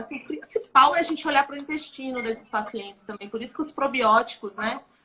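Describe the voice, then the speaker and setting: Projecting a raised voice, a woman speaks at a high pitch with a bright, sharp tone. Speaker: dermatologist. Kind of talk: live stream interview. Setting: Instagram live.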